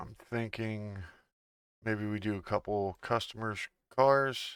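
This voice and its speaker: The tone is relaxed and the pace very slow, with fairly even intonation. It is a very clean recording with a silent background. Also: man, fairly low pitch for a man. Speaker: gaming youtuber. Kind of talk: gameplay commentary. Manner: casual, relaxed.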